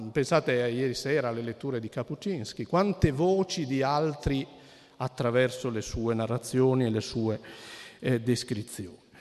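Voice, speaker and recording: Medium pitch, ordinary pitch variation and a moderate pace from a man. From Piedmont, Cuneo. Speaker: anthropologist. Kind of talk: lecture. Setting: stage with audience. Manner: halting.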